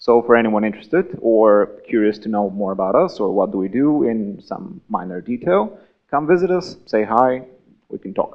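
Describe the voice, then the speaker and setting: Delivered at a moderate pace in a Bulgarian accent, the speech has very wide pitch swings. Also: man, medium pitch for a man. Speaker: game designer. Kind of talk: conference talk.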